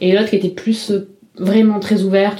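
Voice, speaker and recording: Noticeable background noise behind a woman at a moderate pace. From Marseille, southern France. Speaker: drag king performer. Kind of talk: interview testimony. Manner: halting.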